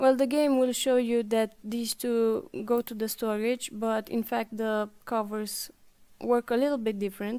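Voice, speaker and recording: A woman speaks at a fairly slow pace with a slight non-native accent, her fairly high pitch carrying a dark, mellow tone and fairly even intonation over a very clean recording with a silent background. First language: not English. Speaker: game support staff presenting tutorials. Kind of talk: tutorial.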